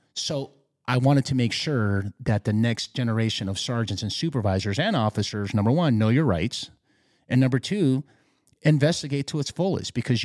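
A man with a Spanish accent talks at a fairly quick pace in a medium pitch with lively intonation, the recording very clean with a silent background and a dry, close sound with no echo. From Peru (Lima), moved to Los Angeles as a youth. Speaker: retired police sergeant. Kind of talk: casual interview. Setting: studio.

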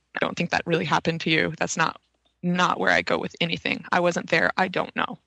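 The sound is dry and close with no echo as a woman talks at a fairly quick pace. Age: young. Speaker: UFO journalist. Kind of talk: casual interview chat.

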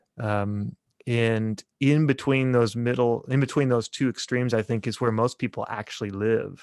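A man with an American accent and a normal speaking voice, medium pitch, fairly even intonation and a moderate pace, dry and close with no echo over a quiet background. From Kansas, US Midwest. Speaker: theology professor. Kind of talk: casual interview.

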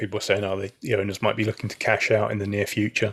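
A man with a British accent speaks at a fairly low pitch. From UK. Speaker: podcast co-host. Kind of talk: casual chat. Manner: halting.

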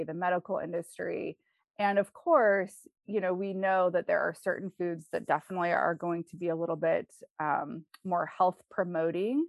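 With an American accent and an ordinary speaking voice, a woman talks at a moderate pace in a medium pitch. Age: 30s. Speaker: life and health coach. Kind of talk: interview.

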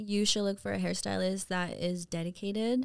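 A woman with an American accent on a very clean recording against a silent background. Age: 30s. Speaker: hairstylist and salon owner. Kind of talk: casual chat.

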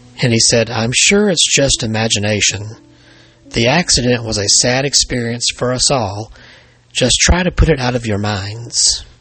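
A man with an American accent at medium pitch and moderate pace, ordinary pitch variation, music in the background. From Alabama, US South. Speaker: paranormal author and podcast host. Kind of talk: scripted true-crime horror narration, read aloud as a ghost story.

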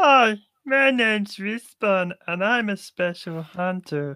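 A put-on character voice, female-sounding and medium in pitch, at a fairly slow pace

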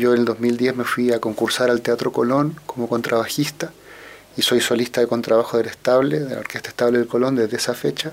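In a plain, everyday voice, a man of medium pitch talks at a fairly quick pace with fairly even intonation. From Chile, Santiago. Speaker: orchestral musician and conductor. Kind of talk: radio interview.

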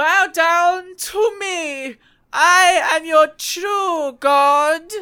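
Someone uses a put-on character voice with an extremely high pitch, speaking at a very slow pace. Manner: commanding, arrogant.

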